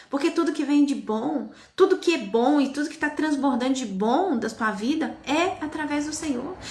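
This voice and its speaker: Her tone is animated and her intonation lively as this woman speaks at a fairly slow pace. Audible room echo fills the recording. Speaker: evangelical preacher. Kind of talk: live-stream sermon.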